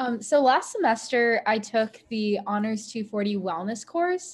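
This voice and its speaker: With an American accent, a woman talks in a somewhat breathy voice at a fairly high pitch, keeping a fairly slow pace with hardly any pauses. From Ohio, US (Sylvania); Ohio. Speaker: college student. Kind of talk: casual Q&A panel; panel answer on a video call. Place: home room. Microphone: video call.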